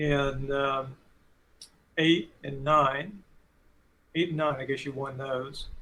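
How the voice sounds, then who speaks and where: A man with a fairly high pitch speaks in a monotone, flat intonation. He leaves long, frequent pauses. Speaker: club meeting host. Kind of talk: interview. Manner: fast.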